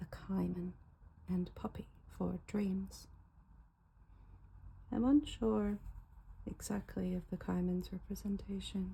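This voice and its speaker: Soft-spoken and relaxed in tone, the voice moves at a very slow pace. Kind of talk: ASMR unboxing, soft-spoken casual talk to camera. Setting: recorded at home with faint car noise in background. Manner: soft-spoken, relaxed.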